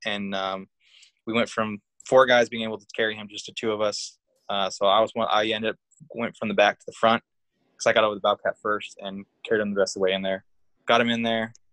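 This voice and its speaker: In an American accent, a man talks very fast with long, frequent pauses, his fairly low voice monotone and flat yet swinging widely in loudness, the sound dry and close with no echo. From Northern California (Humboldt County). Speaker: army veteran. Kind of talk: casual interview.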